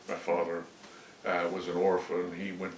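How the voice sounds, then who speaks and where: Speaking with a Southern US accent at a moderate pace, a man is heard with audible room echo and noticeable background noise. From US South, Alabama (Montgomery). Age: 70s. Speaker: oral history interviewee. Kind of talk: interview. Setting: at home.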